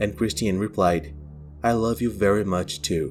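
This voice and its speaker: With music in the background, a man speaks in a Brazilian accent at a very deep, low pitch with lively intonation. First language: Portuguese. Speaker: true crime YouTuber. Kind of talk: true crime narration.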